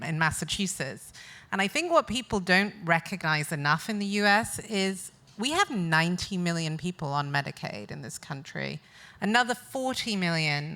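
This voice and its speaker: A woman with a British accent speaks at a moderate pace in a fairly low pitch, her tone bright and sharp and her intonation lively. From UK. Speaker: business executive and board director. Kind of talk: panel discussion.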